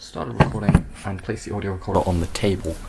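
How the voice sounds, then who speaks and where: Soft-spoken and very deep with a low pitch, a man talks at a fairly quick pace over noticeable background noise. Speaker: video creator. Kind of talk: tutorial.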